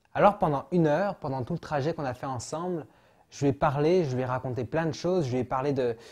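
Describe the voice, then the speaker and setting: A man speaks at a fairly quick pace against a quiet background, his pitch fairly high with ordinary variation. His tone is dark and mellow and somewhat breathy. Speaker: actor and storyteller. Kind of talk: interview about his show. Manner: hesitant, with filler words.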